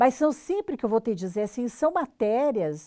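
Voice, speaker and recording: A woman speaks at a high pitch with a dark, mellow tone and lively intonation. The recording is very clean, with a silent background and a dry, close sound with no echo. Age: 70s. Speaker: veteran journalist and professor. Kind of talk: interview.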